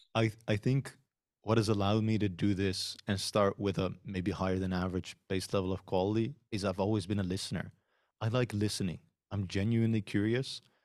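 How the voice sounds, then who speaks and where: Speaking at a fairly quick pace, a man with a Dutch accent keeps a fairly low pitch and fairly even intonation. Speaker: podcast host and software consultant. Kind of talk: interview conversation. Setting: remote video call.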